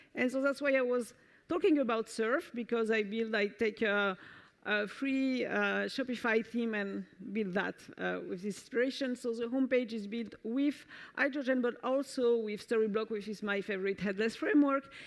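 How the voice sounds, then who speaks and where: Speaking with a French accent, a woman keeps a moderate pace and a fairly high pitch. Her pitch variation is ordinary, and the background is quiet. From France. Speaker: software developer advocate. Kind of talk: conference talk. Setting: stage with audience.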